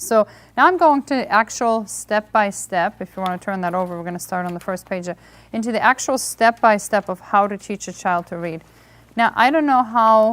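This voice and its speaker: A woman with a Hungarian accent, moderate pace, ordinary pitch variation and big swings in loudness, on a very clean recording with a silent background. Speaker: homeschool reading workshop presenter. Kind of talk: lecture.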